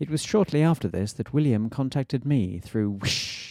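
At a moderate pace, a man speaks at a medium pitch with very wide pitch swings. The sound is dry and close, with no echo. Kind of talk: ghost story telling, scripted narration in a mock-scholarly, dry-humoured tone. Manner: formal, precise, wryly humorous.

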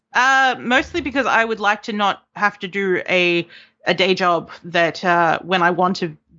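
Here a woman speaks with an Australian accent. Her pitch is medium with ordinary variation. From Australia, Melbourne. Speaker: game developer. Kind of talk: interview. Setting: call.

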